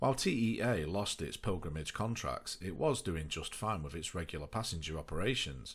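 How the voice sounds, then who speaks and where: A man speaks at a moderate pace with lively intonation. His voice carries vocal fry. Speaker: aviation history narrator. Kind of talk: documentary narration.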